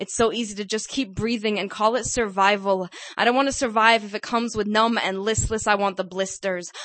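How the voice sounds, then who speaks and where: This woman has an ordinary speaking voice, pitched fairly high, with fairly even intonation. She talks at a fairly quick pace with hardly any pauses. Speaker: poet. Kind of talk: spoken-word poem performed at an open mic, intense and raw. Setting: stage with audience.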